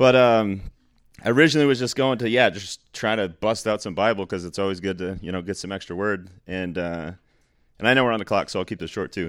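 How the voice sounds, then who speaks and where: A man with a plain, everyday voice talks at a fairly quick pace in a fairly low pitch. His pitch variation is ordinary, and the recording is very clean with a silent background. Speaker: class member sharing testimony. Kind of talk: testimony. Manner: casual, laughs while talking.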